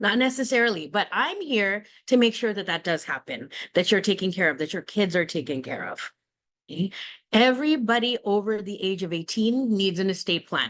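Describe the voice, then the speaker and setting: Against a quiet background, a woman speaks at a medium pitch and a fairly quick pace, with lively intonation. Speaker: estate planning attorney. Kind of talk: webinar presentation. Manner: fast.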